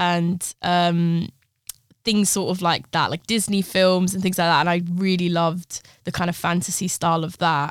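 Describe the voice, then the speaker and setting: This woman's pitch is fairly low and her intonation monotone and flat. She keeps a moderate pace. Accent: London. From London (Harrow), Brazilian parents. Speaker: fashion designer and artist. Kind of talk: interview.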